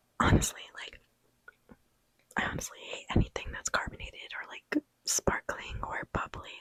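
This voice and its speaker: A woman whispers at a moderate pace, with long, frequent pauses and big swings in loudness. The sound is dry and close, with no echo. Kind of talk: ASMR whispered ramble to camera. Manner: casual, chatty, rambling.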